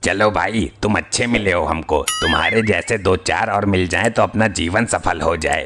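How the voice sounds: In a cartoonish character voice, a man speaks at a moderate pace with a fairly low pitch.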